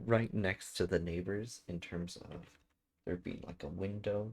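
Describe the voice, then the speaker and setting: At a very slow pace, a soft-spoken man talks with a very deep, low pitch. His pitch varies in an ordinary way. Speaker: gaming streamer. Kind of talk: casual chat.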